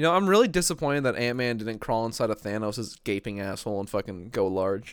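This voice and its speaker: On a very clean recording with a silent background, a man talks at a very fast pace in an animated tone, medium in pitch with lively intonation. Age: young. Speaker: podcast host. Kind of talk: casual chat.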